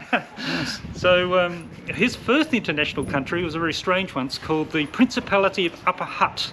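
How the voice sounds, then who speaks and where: A high-pitched man with an Australian accent, fairly quick pace and lively intonation, over noticeable background noise. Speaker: digital nomad business owner. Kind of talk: casual interview chat.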